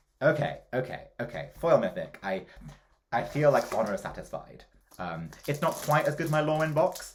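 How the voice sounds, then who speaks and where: Someone speaks in a British accent with an animated tone. The pace is moderate. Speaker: drag queen card-opening youtuber. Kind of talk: casual pack-opening commentary. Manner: animated, excitable.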